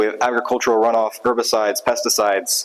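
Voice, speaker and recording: Very fast speech over noticeable background noise. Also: man. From south Louisiana. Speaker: graduate student researcher in biology. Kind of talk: conference talk. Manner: casual, upbeat.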